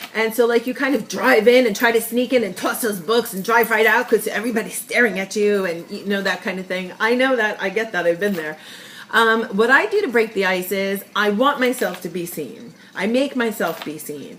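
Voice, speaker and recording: Ordinary pitch variation and a fairly quick pace, with noticeable background noise. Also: woman, fairly high pitch for a woman. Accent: slight New York. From New York. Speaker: sales representative. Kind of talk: casual tutorial vlog. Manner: chatty, filler-heavy.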